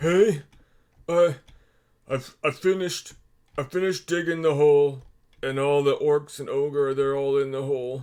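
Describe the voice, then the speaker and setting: Using a put-on character voice, a man speaks at a very slow pace. His voice sits fairly high. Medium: actual play. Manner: broken, simple speech.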